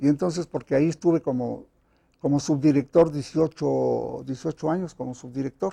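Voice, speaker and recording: Dry and close with no echo, a man's fairly high voice has a dark, mellow tone, fairly even intonation and a moderate pace. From Mexico City. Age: 80s+. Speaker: playwright. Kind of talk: interview. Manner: halting.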